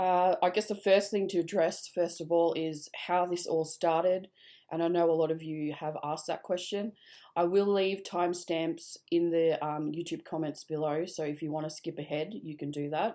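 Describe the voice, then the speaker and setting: On a very clean recording with a silent background, a woman with an Australian accent speaks at a moderate pace in a fairly low pitch, with a dark, mellow tone and fairly even intonation. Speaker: vlogger telling personal story. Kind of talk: personal testimony. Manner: halting, many fillers.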